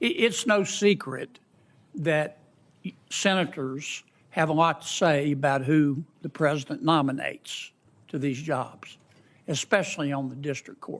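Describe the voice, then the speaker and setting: Very clean, silent-background recording of a man with a fairly high pitch, fairly slow pace, ordinary pitch variation, and long, frequent pauses. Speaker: U.S. senator speaking at a Senate Judiciary Committee hearing. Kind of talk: formal hearing speech introducing judicial nominees.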